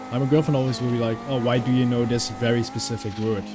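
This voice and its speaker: Over background music and audible room echo, a man with a medium-pitched voice talks very fast. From Netherlands. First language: Dutch and German. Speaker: gaming YouTuber. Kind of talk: casual gameplay commentary. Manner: chatty, rambling.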